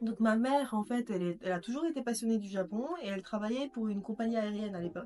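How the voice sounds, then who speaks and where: A woman with a Japanese accent talks very fast, barely pausing, in a fairly high voice with ordinary pitch variation. Noticeable background noise is present. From Japan, Tokyo. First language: Japanese (speaking French). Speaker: podcast guest. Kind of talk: casual interview.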